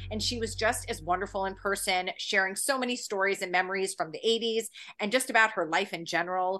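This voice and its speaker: A woman's enthusiastic tone at a fairly quick pace, with music in the background. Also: medium pitch for a woman. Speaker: magazine editor and podcast host. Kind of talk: casual interview.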